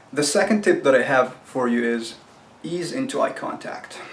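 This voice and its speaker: Noticeable background noise surrounds a man whose voice sits fairly high for a male speaker. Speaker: self-help video host. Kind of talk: tutorial. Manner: casual, conversational.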